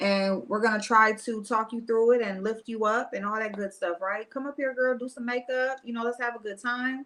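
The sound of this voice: A woman's fairly high, fairly bright voice at a moderate pace, with few pauses and fairly even intonation.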